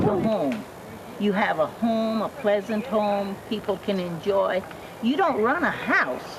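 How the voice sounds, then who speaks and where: Very slow pace from a woman with fairly high pitch, lively intonation and very even loudness, over noticeable background noise. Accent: American. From Georgia, US. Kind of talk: interview answer. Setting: outdoors.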